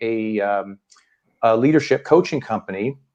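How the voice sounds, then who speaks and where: Speaking at a moderate pace with ordinary pitch variation, a man with an American accent uses a normal speaking voice. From US Midwest. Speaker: leadership team consultant and coach. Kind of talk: interview.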